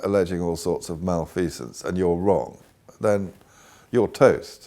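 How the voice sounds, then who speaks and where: A man with a dark, mellow tone speaks at a moderate pace. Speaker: short seller, market commentator. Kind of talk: interview answer.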